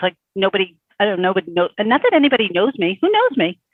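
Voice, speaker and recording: A woman talks with a Brooklyn accent. Her pace is fairly quick. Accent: Brooklyn New York. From Bay Ridge, Brooklyn, New York. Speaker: small business coach. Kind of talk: coaching session client.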